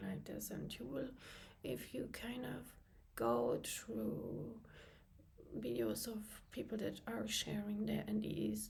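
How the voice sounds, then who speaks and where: A woman with a non-native accent speaks at a very slow pace, with audible room echo. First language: not English. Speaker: channel host, abuse survivor. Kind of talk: personal vlog monologue, partly reading a script. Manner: halting with frequent fillers.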